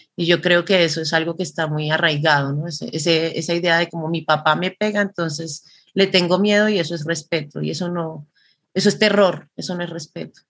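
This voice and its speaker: An unremarkable speaking voice from a woman, fairly low in pitch, fairly quick, with fairly even intonation. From Colombia. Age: 40s. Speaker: performance artist. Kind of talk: interview.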